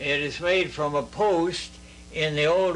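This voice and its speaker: Over noticeable background noise, a man with an American accent and a high pitch speaks at a fairly slow pace with fairly even intonation. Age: 80s+. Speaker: war veteran. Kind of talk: interview answer. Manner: hesitant, halting.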